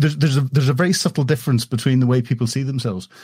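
A man's somewhat breathy voice, medium in pitch with a dark, mellow tone, in a Northern Irish accent. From Northern Ireland. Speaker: former military officer. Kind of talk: casual interview chat. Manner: hesitant, repeats words.

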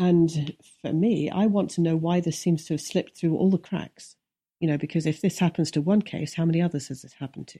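Speaking fairly fast with an English Midlands accent, a woman uses a fairly low, dark, mellow, somewhat breathy voice with fairly even intonation and big swings in loudness. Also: dry, close sound with no echo. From English Midlands, Leicestershire. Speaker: TV producer and investigative journalist. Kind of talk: interview conversation. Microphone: extreme echo on the line, removed in editing.

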